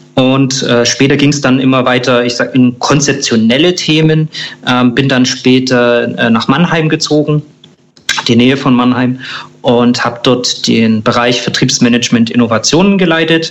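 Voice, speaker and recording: Over noticeable background noise, a man with a medium pitch speaks at a moderate pace, with fairly even intonation and very even loudness. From Germany, southeast Thuringia. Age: 30s. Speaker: insurance broker manager. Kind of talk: interview. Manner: halting, many fillers.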